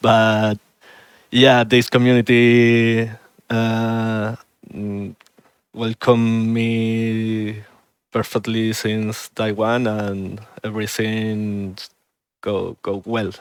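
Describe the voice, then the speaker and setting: A man with a Spanish accent speaks at a very slow pace in a medium pitch, with long, frequent pauses. His intonation is monotone and flat. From Spain. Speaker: speedrunner. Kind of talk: casual chat. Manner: halting.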